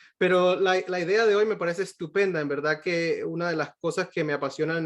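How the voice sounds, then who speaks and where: A man's speech, with ordinary pitch variation and a moderate pace, is heard against a quiet background. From Venezuela. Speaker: pediatric cardiologist. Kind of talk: lecture. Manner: halting, many fillers and repetitions.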